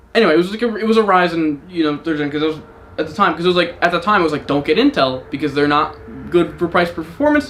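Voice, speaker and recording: A man talks at a very fast pace and a high pitch. His pitch variation is ordinary, with noticeable background noise. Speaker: streamer. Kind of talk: casual chat. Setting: home live stream. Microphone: mic somewhat far away.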